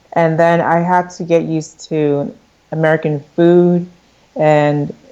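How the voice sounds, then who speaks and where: A dark, mellow tone with a Philadelphia accent. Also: woman, fairly low pitch for a woman, fairly even intonation. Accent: US Northeast, Philadelphia. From Philadelphia area, US (from Nigeria at six). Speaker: fashion entrepreneur. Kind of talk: interview.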